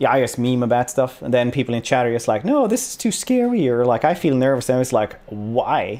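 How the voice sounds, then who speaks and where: The recording is very clean, with a silent background. A man with a Swedish accent and a dark, mellow tone speaks at a fairly quick pace. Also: medium pitch for a man, ordinary pitch variation, hardly any pauses. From Sweden. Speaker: streamer. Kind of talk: casual podcast conversation.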